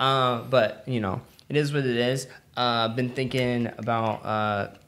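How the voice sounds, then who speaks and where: A man's medium-pitched voice, fairly slow and flat, monotone in intonation. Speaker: podcast co-host. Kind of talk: casual chat. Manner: rambling, hesitant with fillers.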